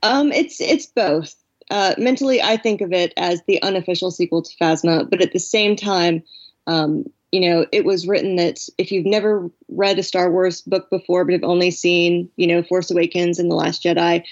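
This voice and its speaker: A woman's ordinary speaking voice at medium pitch, with a moderate pace and ordinary pitch variation. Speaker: novelist. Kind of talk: interview.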